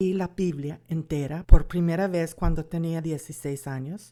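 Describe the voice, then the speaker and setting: On a very clean recording with a silent background, a woman with an American accent speaks at a very slow pace. Her fairly low pitch has a dark, mellow tone and ordinary variation. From United States. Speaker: Bible course instructor and author. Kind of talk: lecture.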